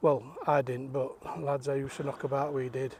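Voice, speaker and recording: The speaker is a man with a South Yorkshire accent. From South Yorkshire (Rotherham area). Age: 60s. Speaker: vlogger. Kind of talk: walking vlog. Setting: outdoors. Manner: casual, halting.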